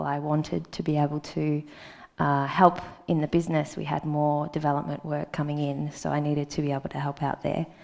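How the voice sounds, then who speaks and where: A woman speaks at a fairly quick pace with an Australian accent. Her pitch is very deep and low. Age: 30s. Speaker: conference speaker. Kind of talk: conference talk. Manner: hesitant, many ums.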